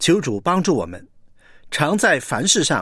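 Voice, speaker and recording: Using very wide pitch swings and vocal fry, a man speaks at a fairly slow pace. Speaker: preacher. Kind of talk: sermon.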